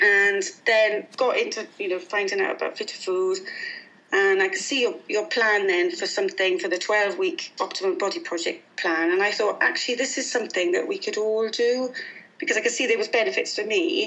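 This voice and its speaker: The speaker has a British accent and a fairly quick pace. The pitch swings very widely. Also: woman. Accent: noticeable regional British. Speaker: guest, mum, nutrition plan client and mentor. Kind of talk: interview conversation. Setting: phone call.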